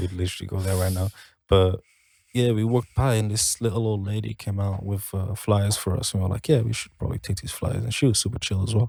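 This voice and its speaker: On a very clean recording with a silent background, a man speaks at a very fast pace, somewhat breathy, in a fairly low pitch with a dark, mellow tone and fairly even intonation. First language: not English. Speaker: band member podcast host. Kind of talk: casual chat.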